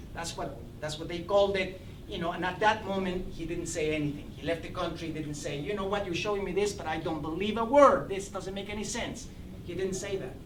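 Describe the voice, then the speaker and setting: Speaking at a fairly quick pace, a man has a high voice with ordinary pitch variation, while noticeable background noise and audible room echo fill the recording. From Guatemala City. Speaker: lecturer on Latin American history. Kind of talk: panel talk. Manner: halting.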